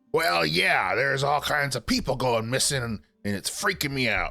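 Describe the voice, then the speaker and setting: Putting on a character voice, a man growls in a grumpy tone that is raspy and rumbling, at medium pitch with very wide pitch swings and a moderate pace, with music in the background. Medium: actual play. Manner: grumpy, grumbling.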